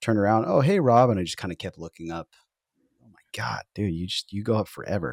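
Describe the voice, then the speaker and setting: Quiet and very fast, a man with a fairly low pitch speaks in a dry, close sound with no echo on a very clean recording with a silent background. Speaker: golf podcast host. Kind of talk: casual chat. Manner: low energy. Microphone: new audio setup.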